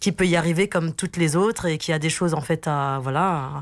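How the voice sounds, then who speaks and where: This woman has a very deep, low pitch. She speaks at a moderate pace with ordinary pitch variation. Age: 40s. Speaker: team leader and wellness event organiser. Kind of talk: radio interview. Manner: hesitant, many fillers.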